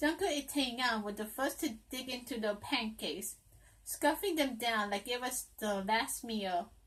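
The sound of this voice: The clip is an unforced reading voice with ordinary pitch variation.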